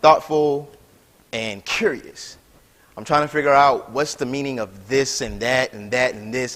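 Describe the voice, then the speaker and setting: At a moderate pace, a man with an American accent speaks at medium pitch, with big swings in loudness. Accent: slight Southern twang, comes and goes. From South Carolina. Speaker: graduate student lecturer. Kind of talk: lecture. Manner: casual, conversational.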